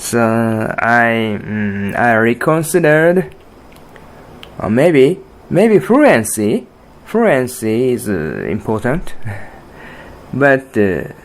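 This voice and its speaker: Over noticeable background noise, a man with a Japanese accent speaks at a medium pitch with very wide pitch swings. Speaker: podcast host and artist. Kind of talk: solo podcast monologue. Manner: halting, many fillers and restarts.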